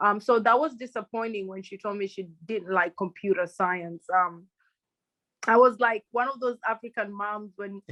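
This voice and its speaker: Against a quiet background with dry, close sound and no echo, a woman with a Kenyan accent speaks at a moderate pace and medium pitch, with ordinary pitch variation. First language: Luhya. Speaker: crypto and NFT advisor, former banker. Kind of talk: podcast interview.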